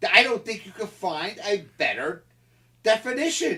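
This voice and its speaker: With an American accent, a man talks in an animated, bright and sharp tone, his raised, projected voice high in pitch with very wide pitch swings at a moderate pace. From Philadelphia area, US. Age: 70s. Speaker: political commentator. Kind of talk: interview. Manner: animated, impassioned; halting, repeated words.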